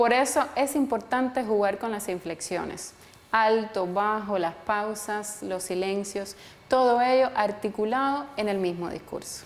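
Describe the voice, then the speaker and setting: A woman's fairly high, unremarkable speaking voice, fairly slow, with ordinary pitch variation. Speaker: journalist and photographer. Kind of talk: online course lecture to camera.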